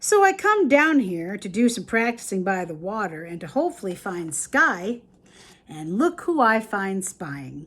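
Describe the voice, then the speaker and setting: A woman puts on a character voice at medium pitch and a moderate pace. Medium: read story. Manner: dry, cocky.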